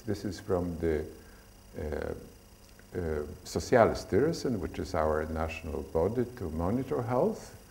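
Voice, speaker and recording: A man with a non-native accent, somewhat breathy and dark, mellow in tone, lively intonation, a fairly slow pace, and audible room echo. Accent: foreign. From Poland. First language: Polish. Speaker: stress researcher. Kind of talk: lecture. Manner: halting.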